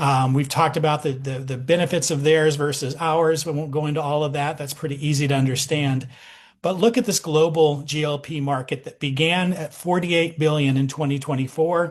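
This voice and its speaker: A somewhat breathy man's voice, fairly high and fairly quick, against a quiet background. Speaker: doctor presenting a product. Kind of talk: sales pitch on video call. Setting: video call. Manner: animated.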